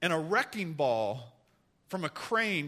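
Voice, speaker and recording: On a very clean recording with a silent background, a man's bright, sharp voice swings very widely in pitch at a moderate pace. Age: 40s. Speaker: pastor. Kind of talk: sermon. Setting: church.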